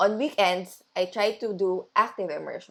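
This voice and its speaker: A woman with a Filipino accent at a moderate pace, on a very clean recording with a silent background. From Philippines. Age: 20s. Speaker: language learning vlogger. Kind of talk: study vlog narration.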